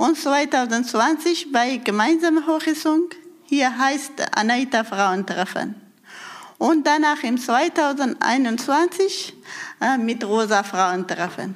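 A woman with a high voice and lively intonation speaks very slowly, keeping her loudness very even. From Afghanistan. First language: Persian (Dari) (speaking German). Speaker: women's group leader. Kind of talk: interview. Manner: halting.

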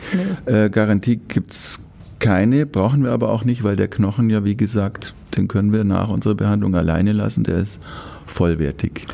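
A man's fairly low voice at a moderate pace, with ordinary pitch variation, over noticeable background noise. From Upper Bavaria. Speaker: orthopedic surgeon. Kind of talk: casual interview. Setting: studio.

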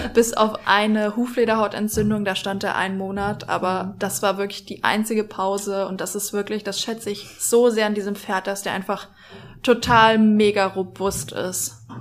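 A woman's medium-pitched, monotone, flat delivery at a moderate pace. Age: 20s. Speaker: equestrian social media influencer. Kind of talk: casual chat.

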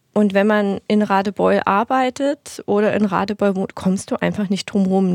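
Here a woman speaks at a fairly slow pace in a normal speaking voice at medium pitch. The recording is very clean, with a silent background and a dry, close sound with no echo. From eastern Germany, Dresden (Saxony). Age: 30s. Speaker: make-up artist. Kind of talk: casual interview chat.

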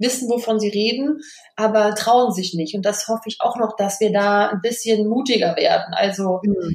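In a plain, everyday voice, a woman talks at a moderate pace, pitched fairly high with ordinary pitch variation. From Rhineland, Germany (Kreis Düren). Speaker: PR consultant and business networker. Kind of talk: casual interview. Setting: remote recording.

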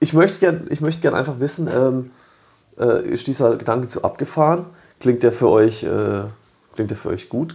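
A man with vocal fry speaks in a fairly high pitch with a dark, mellow tone. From southern Germany, village near Freiburg. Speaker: coffee events organizer. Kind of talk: casual chat. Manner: animated.

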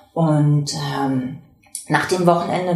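There is audible echo from the room. Background noise is noticeable too. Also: woman. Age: 50s. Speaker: workshop trainer and patient volunteer. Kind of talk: interview; scripted intro.

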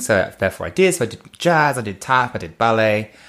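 A British accent at a very fast pace, with lively intonation. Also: man. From England. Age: 30s. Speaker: former stage performer. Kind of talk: casual chat. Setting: studio. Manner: animated.

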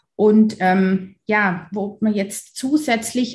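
A woman speaks at a medium pitch with a somewhat breathy quality. Her intonation stays fairly even. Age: 40s. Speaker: dentist. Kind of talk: interview.

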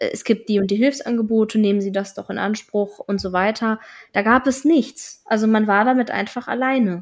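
A woman with a plain, everyday voice speaks at a fairly high pitch and a moderate pace, with fairly even intonation. The recording is very clean, with a silent background. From northern Germany, Schleswig-Holstein. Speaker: interviewee sharing her educational background. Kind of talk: interview.

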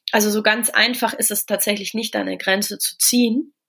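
Pitch moves with ordinary variation. The delivery keeps a moderate pace. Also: woman. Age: 30s. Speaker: coach and author on high sensitivity. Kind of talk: podcast interview. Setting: remote recording. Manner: hesitant, many filler sounds.

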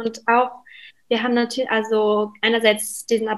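This woman's voice sits at a fairly high pitch. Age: 20s. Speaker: cookbook author. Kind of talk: casual interview.

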